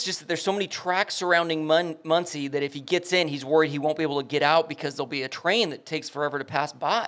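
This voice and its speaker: A man with an American accent, high-pitched, at a fairly quick pace. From Southern California (Lomita, LA South Bay). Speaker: podcast co-host. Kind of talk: casual chat.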